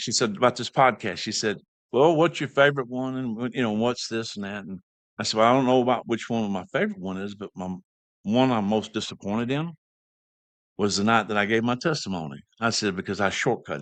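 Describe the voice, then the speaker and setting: A man's medium-pitched voice in a Southern US accent, fairly quick, with ordinary pitch variation over a quiet background. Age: 60s. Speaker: podcast host. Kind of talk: casual chat.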